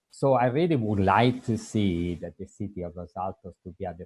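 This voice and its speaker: Somewhat breathy and with a strong Italian accent, a man speaks with ordinary pitch variation in a dry, close sound with no echo. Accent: heavy Italian. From Italy. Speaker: public commenter. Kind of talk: public comment.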